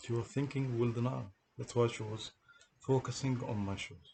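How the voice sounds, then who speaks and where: A man with a strong non-native accent speaks somewhat breathily at a moderate pace, with medium pitch and fairly even intonation. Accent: heavy foreign accent in English. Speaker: person telling of a police case against him. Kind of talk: monologue recounting a personal grievance. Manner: halting, repeats words.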